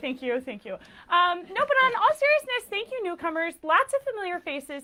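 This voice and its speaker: With an American accent, a woman uses a raised, projected voice at a moderate pace over noticeable background noise. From Texas. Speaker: lecturer and nonprofit founder. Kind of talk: lecture. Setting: stage with live audience. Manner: loud.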